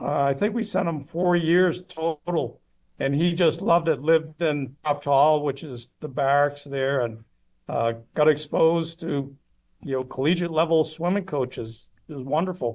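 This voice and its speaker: A man speaks with an ordinary speaking voice at a moderate pace. His pitch is fairly high, with ordinary variation. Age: 60s. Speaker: retired marine officer. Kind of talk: interview.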